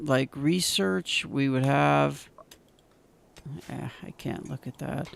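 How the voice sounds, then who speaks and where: Long pauses come often as the talking proceeds very slowly. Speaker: gaming youtuber. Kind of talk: let's play commentary. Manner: slows and drags when thinking; halting, many fillers.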